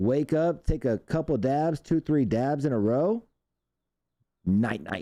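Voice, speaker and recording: In an American accent, a man with a fairly high pitch and a dark, mellow tone talks very slowly, leaving long, frequent pauses while his intonation stays lively. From California. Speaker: cannabis news show host. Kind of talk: casual live-stream chat. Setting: live stream with chat audience. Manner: casual, rambling with fillers.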